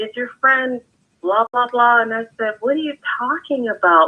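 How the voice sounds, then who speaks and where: A woman talks at a moderate pace in a normal speaking voice, with ordinary pitch variation. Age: 60s. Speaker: podcast guest. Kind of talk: casual chat. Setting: live stream.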